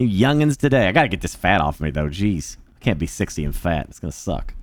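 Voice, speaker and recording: An animated tone with very wide pitch swings moves at a moderate pace on a very clean recording with a silent background. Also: man. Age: 40s. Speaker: livestreamer. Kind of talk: casual chat.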